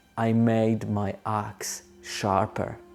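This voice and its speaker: This man talks at a medium pitch in a non-native accent. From moved to Australia as a teenager. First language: not English. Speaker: aviation English tutor. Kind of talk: tutorial with storytelling.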